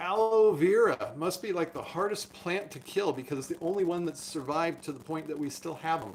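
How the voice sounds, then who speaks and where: Speaking at a fairly quick pace with hardly any pauses, a man uses a high pitch and ordinary pitch variation. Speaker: doctor. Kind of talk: live stream chat. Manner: fast.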